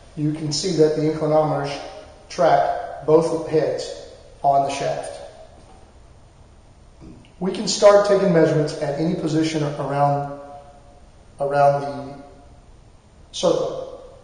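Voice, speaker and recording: A man's fairly slow, fairly even speech, broken by long, frequent pauses and wrapped in strong room echo. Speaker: product demonstrator. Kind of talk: tutorial. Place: meeting room.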